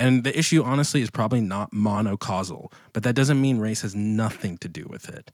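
A man with an American accent and an unremarkable speaking voice talks with hardly any pauses. His pitch is fairly low with ordinary variation, on a very clean recording with a silent background. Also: fairly quick pace. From Washington, D.C. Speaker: pastor and author. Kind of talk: casual interview conversation.

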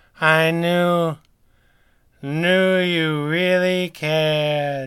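A man's put-on character voice, fairly high in pitch, in a monotone, flat intonation. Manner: slurred, sardonic.

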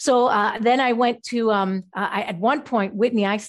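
A woman's fairly high voice with ordinary pitch variation, a normal speaking voice, over a quiet background. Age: 50s. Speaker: natural food chef and health coach. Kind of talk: interview.

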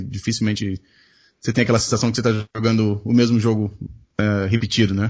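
A man's medium-pitched voice, fairly quick and flat in a monotone. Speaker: podcast host. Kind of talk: casual chat.

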